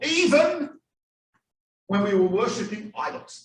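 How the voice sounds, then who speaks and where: This man's voice sits extremely high in pitch, animated in tone with ordinary pitch variation, and audible room echo surrounds it. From Australia. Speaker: rabbi, guest lecturer. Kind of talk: lecture to a live audience. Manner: animated storytelling.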